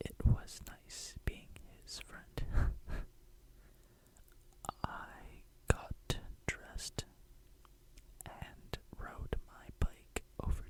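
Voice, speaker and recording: Whispering comes at a very slow pace, with long, frequent pauses and big swings in loudness. Noticeable background noise runs underneath. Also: man. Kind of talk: ASMR nostalgic rambling. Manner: whispered; soft-spoken.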